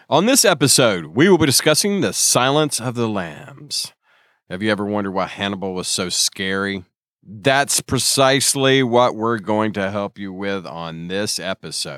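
Lively intonation runs through an ordinary speaking voice delivered at a moderate pace. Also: man, fairly low pitch for a man, very clean recording, silent background. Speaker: podcast host. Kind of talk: casual film podcast chat.

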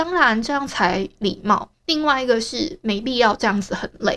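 In a Taiwanese accent, a woman talks at a fairly slow pace with a bright, sharp tone and lively intonation. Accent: Taiwanese Mandarin. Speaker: podcaster. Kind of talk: casual solo diary monologue.

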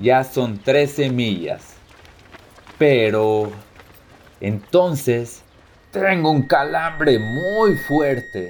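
A man talks at a very slow pace, with long, frequent pauses. His pitch is medium, and there is noticeable background noise. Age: 20s. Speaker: soldier. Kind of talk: scripted first-person narration.

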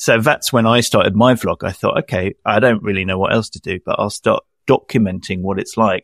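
Speaking with a British accent, a man moves at a fairly quick pace with hardly any pauses, in a dry, close sound with no echo. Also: very clean recording, silent background. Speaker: freelance audio and video editor, podcaster. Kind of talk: casual interview chat.

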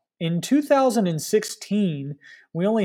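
A man speaks with an American accent in a dark, mellow tone. The recording is very clean, with a silent background. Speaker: cycling event organizer. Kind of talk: interview.

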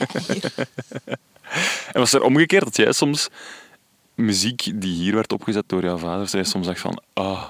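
A man speaks at a fairly slow pace, his pitch fairly low and his intonation lively. He leaves long, frequent pauses, and the sound is dry and close with no echo. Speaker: radio podcast host. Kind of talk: scripted narration with interview. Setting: garden table at guest's home.

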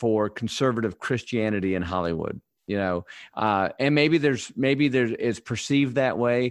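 A man with an ordinary speaking voice talks at a moderate pace, using a medium pitch and ordinary pitch variation. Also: quiet background. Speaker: podcast host. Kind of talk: casual chat. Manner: excitable.

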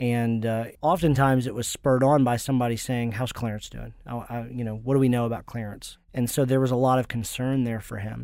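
In a very clean recording with a silent background, a man at a medium pitch speaks fairly quickly in a monotone, flat delivery with hardly any pauses. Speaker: pastor. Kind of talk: interview.

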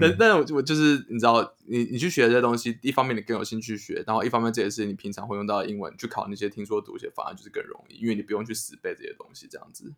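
Talking at a very fast pace with hardly any pauses, a man with a medium pitch and ordinary pitch variation shows big swings in loudness. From Taiwan. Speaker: podcast co-host. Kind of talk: casual chat.

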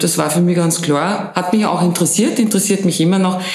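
Heard with audible room echo and noticeable background noise, a woman speaks with fairly even intonation. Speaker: business owner. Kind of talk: interview.

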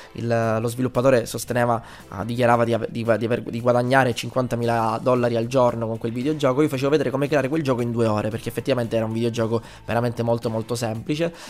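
A man at a very fast pace, with medium pitch and fairly even intonation. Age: 20s. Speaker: game developer and teacher. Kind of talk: interview. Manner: halting.

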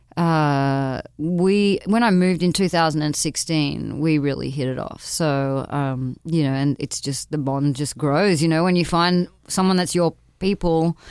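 In a very clean recording with a silent background, a woman with a very deep, low pitch speaks at a fairly slow pace with ordinary pitch variation, in an Australian accent. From Perth, Australia. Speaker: singer-songwriter musician. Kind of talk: casual interview. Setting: studio.

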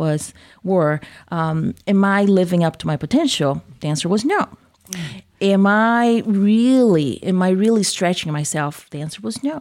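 In a very clean recording with a silent background, a medium-pitched woman with a Brazilian accent speaks at a moderate pace with lively intonation. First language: Portuguese. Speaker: workplace trainer and business owner. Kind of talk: interview discussion.

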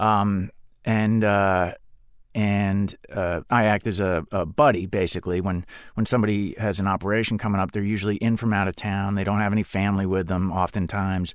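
A man with an American accent and a plain, everyday voice talks at a moderate pace and fairly low pitch, keeping a fairly even intonation on a very clean recording with a silent background. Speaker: actor and former Marine. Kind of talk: interview.

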